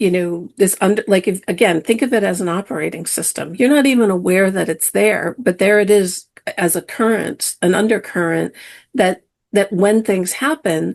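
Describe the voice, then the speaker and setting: Against a quiet background, a woman with a normal speaking voice talks at a moderate pace in a medium pitch, with ordinary pitch variation. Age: 60s. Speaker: spiritual teacher. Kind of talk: podcast interview.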